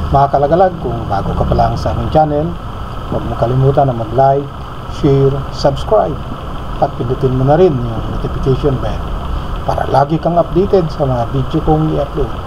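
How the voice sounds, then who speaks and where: Noticeable background noise behind a fairly quick pace of speech. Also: man. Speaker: cycling vlogger. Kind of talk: casual vlog chat. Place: bicycle. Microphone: camera far.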